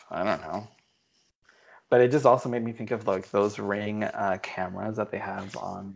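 A man with a plain, everyday voice speaks at a moderate pace and a fairly low pitch, his intonation fairly even over a quiet background. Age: 20s. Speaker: podcast co-host. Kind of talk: casual chat. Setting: remote call.

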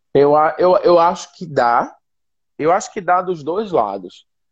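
A man's high-pitched voice at a moderate pace, over a quiet background. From Recife, northeast Brazil. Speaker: missionary and social entrepreneur. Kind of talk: casual interview on a live stream. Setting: online live video stream.

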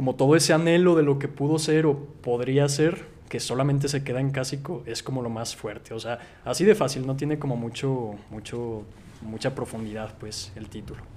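A man with an unremarkable speaking voice talks at a medium pitch and moderate pace, with ordinary pitch variation and big swings in loudness. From Mexico, Zacatecas. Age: 20s. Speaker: writer and film YouTuber. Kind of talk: casual chat.

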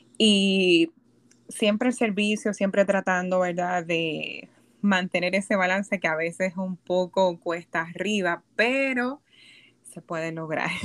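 Speaking at a very slow pace, a woman uses a medium pitch with ordinary variation. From Puerto Rico. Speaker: psychologist. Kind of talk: casual chat. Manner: halting.

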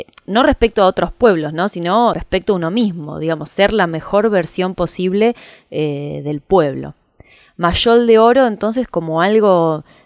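On a very clean recording with a silent background and a dry, close sound with no echo, a woman has an ordinary speaking voice, fairly low in pitch, with ordinary pitch variation at a fairly slow pace. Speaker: podcast host. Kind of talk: scripted narration.

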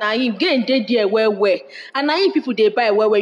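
Over noticeable background noise, a woman talks at a fairly quick pace and a fairly high pitch. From Nigeria, Anambra State. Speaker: market trader. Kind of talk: interview in Nigerian Pidgin. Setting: market.

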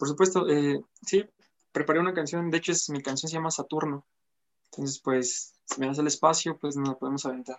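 A man's ordinary speaking voice, fairly quick in pace, with fairly even intonation. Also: fairly high pitch for a man. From Apizaco, Tlaxcala, Mexico. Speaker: musician. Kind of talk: interview. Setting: live-streamed interview.

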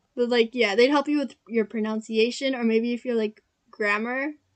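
A woman at a moderate pace, with fairly high pitch and fairly even intonation.

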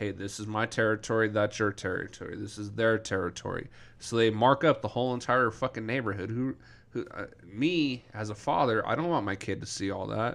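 Here is a man with a normal speaking voice at medium pitch and ordinary pitch variation. He moves at a fairly quick pace in a very clean recording with a silent background. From Denver, Colorado. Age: 30s. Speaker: podcast co-host. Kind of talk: casual chat.

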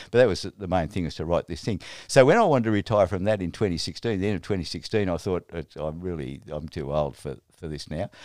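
A man with an Australian accent, very deep, low pitch, ordinary pitch variation, big swings in loudness and a fairly quick pace. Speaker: retired Presbyterian minister. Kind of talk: interview. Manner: halting.

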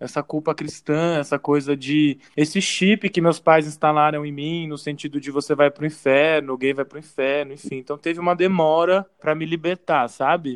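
A man with an unremarkable speaking voice and a fairly high pitch talks at a moderate pace with fairly even intonation and hardly any pauses. The sound is dry and close with no echo, over a quiet background. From São Paulo, Brazil. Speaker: advertising professional. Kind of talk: casual interview.

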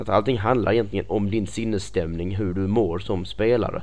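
With vocal fry and ordinary pitch variation, the speaker moves at a moderate pace in a room with audible echo. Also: man. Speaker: podcast host and games site editor. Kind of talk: casual chat.

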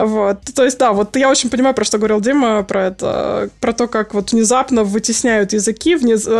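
A woman speaks at a moderate pace with a fairly high pitch and fairly even intonation, her loudness very even. She hardly pauses, and noticeable background noise is present. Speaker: polyglot and long-time gamer. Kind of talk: casual chat.

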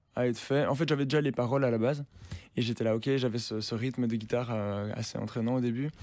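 A man of medium pitch talks at a very fast pace. His intonation is monotone and flat. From Belgium. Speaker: singer-songwriter and producer. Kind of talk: interview. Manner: casual, hesitant with fillers.

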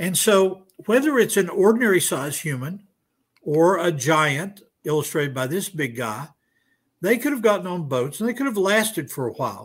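At a moderate pace, a man speaks in a high voice. His pitch swings very widely. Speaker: creationist professor. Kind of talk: debate.

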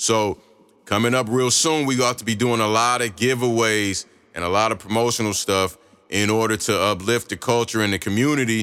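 With an American accent, a man talks in a bright, sharp tone at a medium pitch and fairly even intonation. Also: fairly quick pace, very even loudness. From Chicago, then Indiana and Michigan. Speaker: radio host. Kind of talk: casual radio show chat. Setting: studio. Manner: laid-back, slangy.

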